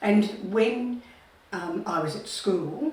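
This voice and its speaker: Against noticeable background noise and audible room echo, a woman speaks with lively intonation. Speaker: retired nurse. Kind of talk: life story interview.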